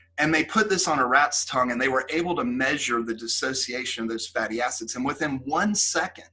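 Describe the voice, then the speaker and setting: Over noticeable background noise, a man with a medium-pitched voice and lively intonation talks at a fairly quick pace with hardly any pauses. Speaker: professor. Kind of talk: lecture.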